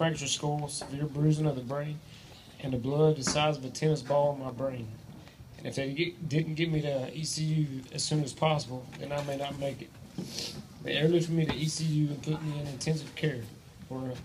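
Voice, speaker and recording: At a fairly quick pace, a man with an Appalachian accent talks in a fairly high voice and a flat, monotone intonation, with audible echo from the room. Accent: Southern US, Appalachian. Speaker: teacher and sports coach. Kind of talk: testimony. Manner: reading from a script, halting with fillers.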